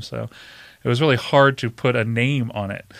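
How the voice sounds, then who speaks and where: With an American accent, a man talks in fairly even intonation on a very clean recording with a silent background. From Virginia, York County. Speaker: pizza shop owner. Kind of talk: casual interview. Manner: hesitant with frequent fillers.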